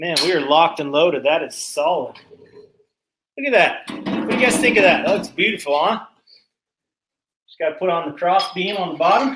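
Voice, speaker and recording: A loud man with a high pitch talks at a fairly quick pace with lively intonation, breaking often into long pauses. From Canada. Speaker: small engine repair youtuber. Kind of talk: live stream shop work chat. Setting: home workshop. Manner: casual.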